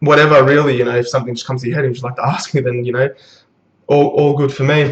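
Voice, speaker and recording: Talking at a very fast pace, a man speaks in a flat monotone that is somewhat breathy. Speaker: anime and manga reviewer. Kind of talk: video review monologue. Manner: halting, many fillers.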